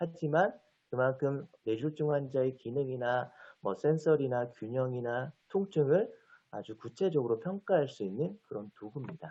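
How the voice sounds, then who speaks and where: A man talks at a fairly slow pace in an ordinary speaking voice. His medium pitch carries lively intonation. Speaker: physical therapy lecturer. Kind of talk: lecture.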